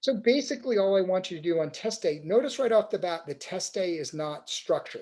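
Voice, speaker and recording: Speaking at a very fast pace, a man with high pitch and a dark, mellow tone shows big swings in loudness. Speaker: cycling coach. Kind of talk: webinar tutorial. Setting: online webinar.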